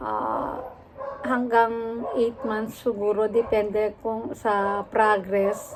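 Over noticeable background noise, a woman speaks at a very slow pace. Her fairly high pitch follows fairly even intonation. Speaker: vlogger; rehab therapist. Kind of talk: casual vlog story time.

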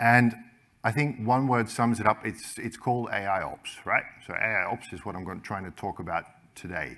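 The pace is moderate. This man's pitch shows ordinary variation. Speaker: keynote speaker. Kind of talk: conference talk. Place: stage.

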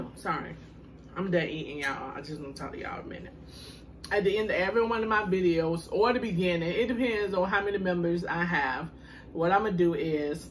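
A woman at a moderate pace and fairly low pitch, over light background noise. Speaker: food vlogger. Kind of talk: casual vlog chat. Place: home room. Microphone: phone near.

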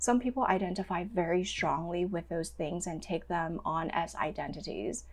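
A woman speaks with fairly low pitch, vocal fry and ordinary pitch variation. Her pace is moderate, with hardly any pauses. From Hong Kong. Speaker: registered dietitian; podcast guest. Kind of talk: interview. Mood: calm, thoughtful. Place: home room.

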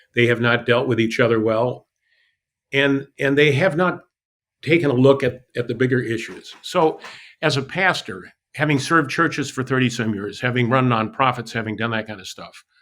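A man with an unremarkable speaking voice talks at a moderate pace and medium pitch with ordinary pitch variation, in a very clean recording with a silent background. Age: 60s. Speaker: pastor and city council candidate. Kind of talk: interview.

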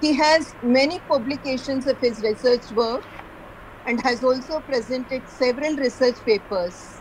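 A woman speaks in a high voice at a moderate pace. Her loudness stays very even, with light background noise. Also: ordinary pitch variation. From India. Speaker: college lecturer, event moderator. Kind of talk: formal introduction. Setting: video call. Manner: formal. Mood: polite, respectful. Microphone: video call.

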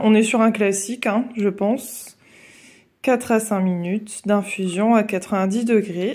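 A woman speaks at a fairly slow pace with very even loudness. Her pitch is fairly high and her intonation fairly even. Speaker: coloring hobby vlogger. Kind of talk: casual talk to camera. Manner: hesitant, chatty. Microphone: phone near.

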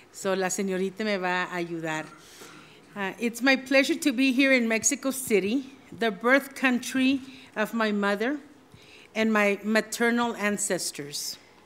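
Ordinary pitch variation and a very slow pace from a woman speaking. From Texas. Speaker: judge; judge giving a forum talk. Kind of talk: formal speech via interpreter. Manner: halting. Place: hall. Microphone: podium.

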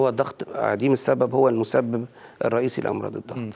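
Vocal fry runs through a man's speech at a very fast pace. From Egypt. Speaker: cardiologist; guest. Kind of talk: TV health interview. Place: studio. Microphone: lapel.

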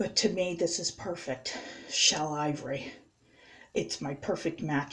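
A woman's fairly low-pitched voice at a fairly slow pace, with ordinary pitch variation. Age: 40s. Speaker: beauty vlogger. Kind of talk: makeup tutorial. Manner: casual, halting. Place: bathroom. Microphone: webcam.

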